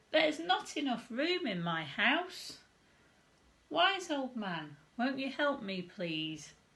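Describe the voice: A woman uses a put-on character voice, high in pitch with a fairly bright tone and big pitch swings. She talks at a slow pace, and audible room echo surrounds her.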